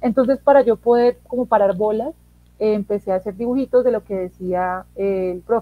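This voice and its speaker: In a plain, everyday voice, a woman talks at a moderate pace with a fairly high pitch and ordinary pitch variation. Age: 20s. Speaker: philosophy teacher. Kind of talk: interview.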